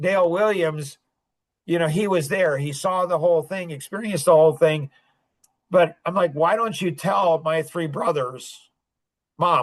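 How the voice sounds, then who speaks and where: A man with a high pitch, ordinary pitch variation and a moderate pace. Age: 60s. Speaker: podcast host. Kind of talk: casual chat. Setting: podcast.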